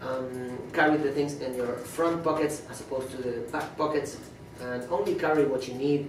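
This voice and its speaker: A man at medium pitch, monotone and flat, at a moderate pace over noticeable background noise. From Argentina. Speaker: cruise director. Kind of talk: port information talk to passengers.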